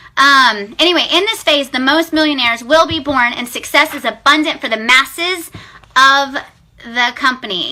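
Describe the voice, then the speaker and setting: An animated, raised and projected voice with lively intonation at a moderate pace, over noticeable background noise. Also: woman. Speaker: direct sales team leader. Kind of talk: live video pep talk. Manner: loud.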